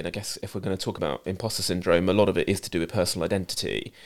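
A man with a British accent, fairly low-pitched, bright and sharp in tone, talking very fast. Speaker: TV production company boss. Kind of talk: casual interview chat.

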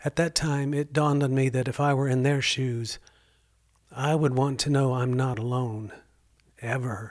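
On a very clean recording with a silent background, a man speaks at medium pitch and a moderate pace with fairly even intonation and long, frequent pauses. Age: 60s. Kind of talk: devotional storytelling monologue. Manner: earnest, warm.

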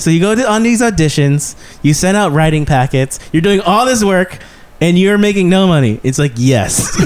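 With noticeable background noise behind him, a man talks in a high pitch with lively intonation. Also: moderate pace, very even loudness. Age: 30s. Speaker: stand-up comedian. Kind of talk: casual chat.

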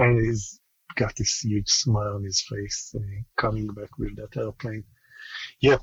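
Speaking at a fairly slow pace with long, frequent pauses, a man uses a fairly low, somewhat breathy voice with fairly even intonation and big swings in loudness. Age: 40s. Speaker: aerospace engineer. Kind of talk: casual interview. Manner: halting.

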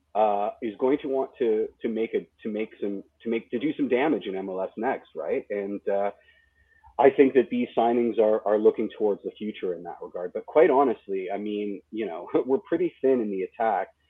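At a moderate pace and medium pitch, a man talks in an unremarkable speaking voice. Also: ordinary pitch variation. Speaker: podcast co-host. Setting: video call.

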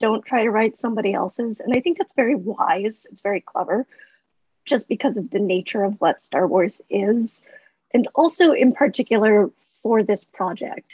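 A woman talks at a moderate pace in a fairly high, somewhat breathy voice with ordinary pitch variation. Her loudness swings widely, and the sound is dry and close with no echo. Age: 30s. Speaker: novelist. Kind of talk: casual chat.

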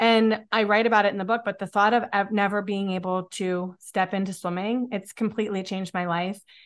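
With an American accent, a woman talks at a fairly quick pace. Her intonation is monotone and flat. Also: medium pitch for a woman, quiet background. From Pennsylvania, near Pittsburgh. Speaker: author and podcaster, mother. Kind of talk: interview conversation.

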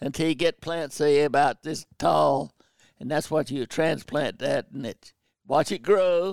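A man with a Southern US accent, fairly high in pitch, with vocal fry, ordinary pitch variation, a moderate pace, and a dry, close sound free of echo. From North Carolina, Pembroke area. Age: 90s. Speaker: war veteran and bird hunter. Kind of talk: casual interview. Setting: video call. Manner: halting.

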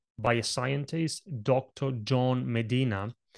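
A man in an Italian accent at medium pitch and very slow pace, with ordinary pitch variation and a dry, close sound with no echo. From Italy. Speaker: presentation coach. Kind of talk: interview conversation.

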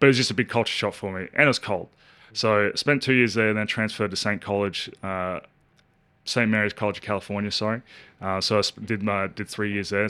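Over a very clean recording with a silent background, a man with an Australian accent speaks very fast in a fairly low pitch with a bright, sharp tone. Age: 30s. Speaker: professional basketball player. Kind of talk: casual chat.

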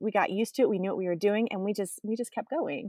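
With a plain, everyday voice, a woman speaks at a fairly high pitch in a very clean recording with a silent background and a dry, close sound with no echo. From Texas. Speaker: military spouse. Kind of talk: interview conversation.

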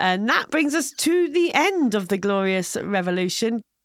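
A woman speaks with a fairly high pitch and very wide swings in her pitch. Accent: British. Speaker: podcast co-host. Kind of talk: casual comedic banter about history. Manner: fast talker.

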